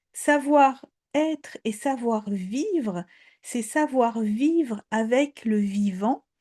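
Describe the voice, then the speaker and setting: Over a quiet background, with a dry, close sound and no echo, a woman's fairly high voice carries a dark, mellow tone and lively intonation. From Poland. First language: Polish (speaking French). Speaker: storyteller. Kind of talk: talk on fairy tales. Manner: hesitant, repeats words.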